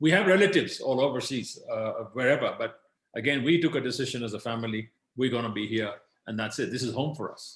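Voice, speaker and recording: A somewhat breathy man with lively intonation at a very fast pace. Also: medium pitch for a man, big swings in loudness. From Kenya. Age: 60s. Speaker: business leader. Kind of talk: interview.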